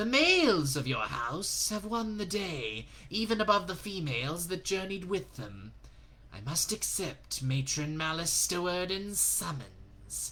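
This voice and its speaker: A put-on character voice at a middle pitch and fairly slow pace, with clear background noise. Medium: read story. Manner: mocking, insidious.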